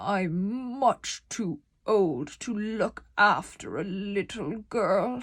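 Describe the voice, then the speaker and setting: A female-sounding, growling put-on character voice at a fairly high pitch moves at a very slow pace. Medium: read story.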